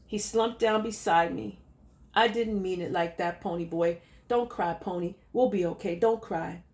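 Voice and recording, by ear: Reading aloud in a natural voice, pitch variation ordinary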